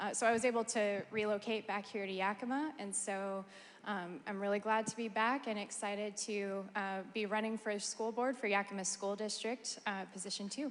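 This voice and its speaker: With an American accent, a woman talks at a moderate pace in an unremarkable speaking voice, her medium pitch and fairly even intonation running on with hardly any pauses. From Oregon, US. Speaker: school board candidate. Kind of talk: candidate introduction.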